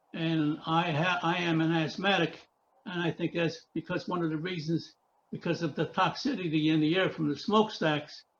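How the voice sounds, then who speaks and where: Talking at a moderate pace with an American accent, a man uses a high pitch and ordinary pitch variation. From US Northeast. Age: 90s. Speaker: author. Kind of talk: interview. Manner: halting.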